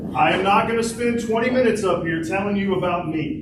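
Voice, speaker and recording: A loud man with a high pitch talks at a fairly quick pace with lively intonation. Noticeable background noise and audible room echo are present. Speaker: town mayor. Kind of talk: town hall address. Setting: town hall meeting with audience.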